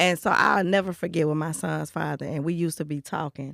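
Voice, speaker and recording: On a very clean recording with a silent background, a woman speaks at a fairly quick pace with vocal fry. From Chicago. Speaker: live stream show host. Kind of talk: casual chat.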